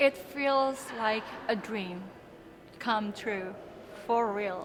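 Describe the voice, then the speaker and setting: A woman with a fairly high voice speaks very slowly with ordinary pitch variation, amid audible room echo and noticeable background noise. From Indonesia. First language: Indonesian. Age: 20s. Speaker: beauty pageant contestant. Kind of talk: interview.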